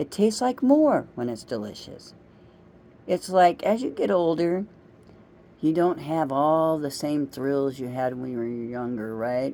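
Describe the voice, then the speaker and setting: A woman's very deep, low-pitched voice with a dark, mellow tone. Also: lively intonation, fairly slow pace. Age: 60s. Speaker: vlogger. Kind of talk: casual monologue.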